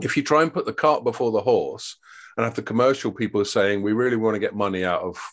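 A man speaks at a fairly quick pace with a British accent. His medium pitch shows ordinary variation against a quiet background. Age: 50s. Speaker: trade journalist and editor. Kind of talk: casual interview chat.

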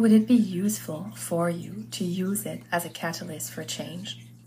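A somewhat breathy, fairly low female voice with audible room echo. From US, Lebanese family. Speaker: podcast host and life coach. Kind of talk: solo podcast monologue.

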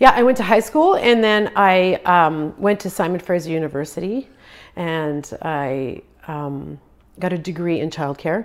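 On a very clean recording with a silent background, a woman with a fairly low pitch and an unremarkable speaking voice talks at a fairly slow pace in a Canadian accent. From western Canada. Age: 50s. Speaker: amateur marathon runner. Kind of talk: casual interview.

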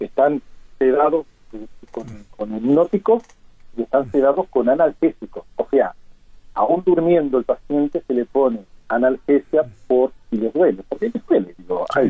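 With long, frequent pauses and very wide pitch swings, a fairly high-pitched man speaks at a fairly slow pace. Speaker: emergency physician and university professor. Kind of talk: radio interview.

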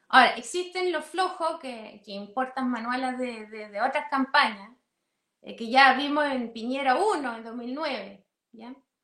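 A woman speaks at a fairly slow pace in a raised, projected voice, high-pitched, with big swings in loudness and ordinary pitch variation. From outside Chile. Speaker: political analyst. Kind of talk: interview.

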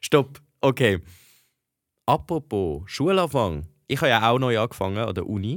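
In a very clean recording with a silent background, a man with a medium-pitched voice and an animated tone makes very wide pitch swings at a moderate pace, broken by long, frequent pauses. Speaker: podcast co-host, university student. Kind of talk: casual chat.

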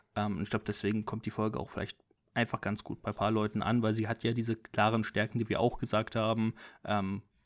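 A fairly low-pitched man's voice, dry and close with no echo, on a very clean recording with a silent background. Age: 20s. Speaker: film podcast co-host. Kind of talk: casual chat. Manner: animated.

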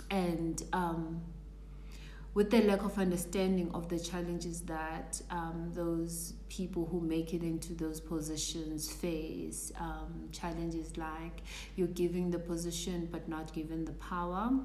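A woman talks at a fairly slow pace with audible room echo. Noticeable background noise is present. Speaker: career coach. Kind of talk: live stream talk. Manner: halting.

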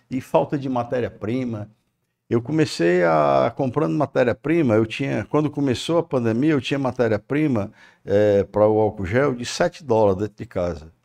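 Lively intonation from a man at medium pitch and moderate pace, dry and close with no echo, over a quiet background. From Ceará, Brazil (Maranguape). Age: 60s. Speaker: business owner. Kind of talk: interview. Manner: halting.

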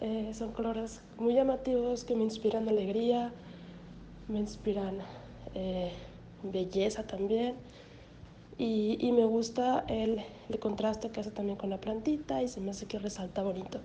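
A woman speaks fairly slowly at a fairly high pitch, with fairly even intonation and long, frequent pauses. Noticeable background noise and audible room echo fill the recording. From Mexico, Hermosillo, Sonora. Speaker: graduate student describing her artwork. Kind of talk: personal reflection on an artwork. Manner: halting, many fillers and repetitions.

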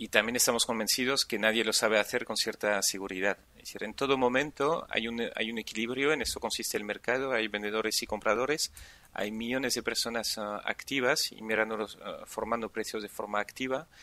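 Bright and sharp in tone, a man at medium pitch keeps his intonation fairly even and hardly pauses. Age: 40s. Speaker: entrepreneur and angel investor. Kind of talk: interview. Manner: halting, many repeated words.

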